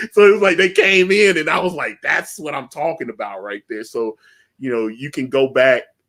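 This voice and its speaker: Speaking at a moderate pace with a Southern US accent, a man with a fairly high pitch makes very wide pitch swings and big swings in loudness. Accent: Southern twang. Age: 40s. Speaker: comic book creator and livestream host. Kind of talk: casual interview chat. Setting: live stream.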